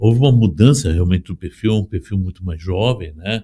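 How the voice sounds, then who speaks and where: On a very clean recording with a silent background, a man talks at a moderate pace in a dark, mellow, somewhat breathy tone with ordinary pitch variation. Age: 60s. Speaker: union leader. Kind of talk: interview. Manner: halting.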